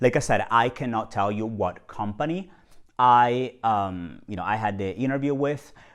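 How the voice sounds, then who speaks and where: A man with an Italian accent speaks with ordinary pitch variation against a quiet background. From Italy, Genoa. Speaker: video blogger. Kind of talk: casual talk to camera. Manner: hesitant, many fillers.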